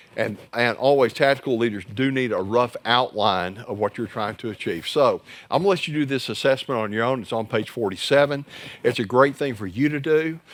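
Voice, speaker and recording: Fairly quick in pace, an unremarkable speaking voice shows ordinary pitch variation. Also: man, medium pitch for a man. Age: 60s. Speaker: church growth trainer for pastors. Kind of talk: workshop presentation. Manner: conversational, joking.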